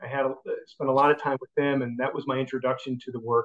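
A man speaks with a Chicago accent. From Chicago area, US. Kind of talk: interview.

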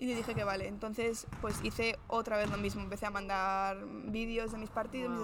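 Audible room echo colors the fairly high-pitched voice of a woman talking at a moderate pace. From Spain, Madrid. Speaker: professional basketball player. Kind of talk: interview. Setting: on location in a sports venue.

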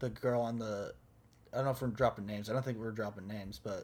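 This is a man speaking in a medium pitch. His intonation is fairly even. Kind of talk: casual chat.

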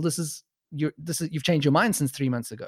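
Speaking at a very fast pace, a man with a South African accent uses a fairly high pitch and ordinary pitch variation. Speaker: podcaster. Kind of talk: casual chat.

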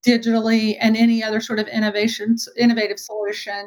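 This woman has a fairly high pitch. She talks at a fairly quick pace. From Texas. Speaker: retail marketing and IT executive. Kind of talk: interview.

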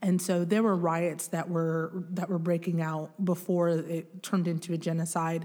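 Speaking at a moderate pace with hardly any pauses, a woman uses a fairly low pitch, a dark, mellow tone, and monotone, flat intonation. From Grand Rapids, Michigan, US (born in Congo, moved at almost four). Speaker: diversity and inclusion director. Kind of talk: casual interview.

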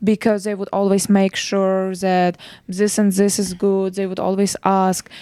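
A woman with a non-native accent speaks at a fairly slow pace in a dark, mellow tone. Her pitch is medium and her intonation monotone and flat. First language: not English. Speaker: professional soccer player. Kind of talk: casual chat.

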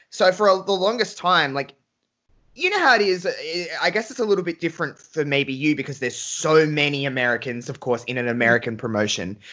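An enthusiastic man speaks at a fairly high pitch and a fairly quick pace. His pitch swings very widely. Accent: Australian. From Australia, Adelaide. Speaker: wrestling fan guest. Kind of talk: casual chat.

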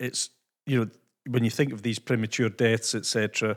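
A man with a Scottish accent in a very clean recording with a silent background, the sound dry and close with no echo. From Scotland. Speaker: podcast host. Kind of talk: casual interview chat.

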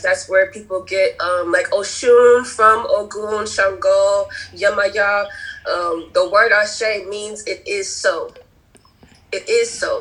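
This woman speaks at a fairly slow pace. Background noise is noticeable. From Providence, Rhode Island. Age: 20s. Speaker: graduate student. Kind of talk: casual chat.

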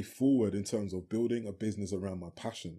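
In a British accent, a man talks at a fairly low pitch with a dark, mellow tone and ordinary pitch variation. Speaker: singer and actor. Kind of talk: interview, conversational.

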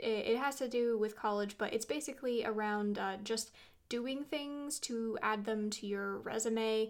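An unremarkable speaking voice, this woman has an American accent, a fairly high pitch, fairly even intonation and a moderate pace. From US Pacific Northwest, suburb of Portland. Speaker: writer and podcast host. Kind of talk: casual interview.

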